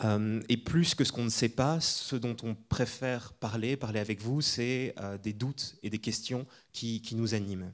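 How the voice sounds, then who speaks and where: At a fairly slow pace, a man speaks in an unremarkable speaking voice at medium pitch with fairly even intonation. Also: very clean recording, silent background. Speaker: architect. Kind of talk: lecture. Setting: lecture hall with audience.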